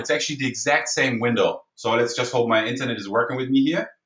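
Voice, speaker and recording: This man talks at a fairly quick pace. He speaks with a German accent. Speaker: online marketing trainer. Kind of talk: webinar tutorial. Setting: online webinar. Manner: fast; animated.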